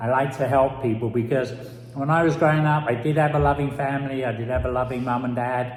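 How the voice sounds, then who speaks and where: A man with a London accent at a very fast pace, fairly even intonation, noticeable background noise and audible room echo. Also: medium pitch for a man. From London, England. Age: old. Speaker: business mentor. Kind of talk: personal introduction.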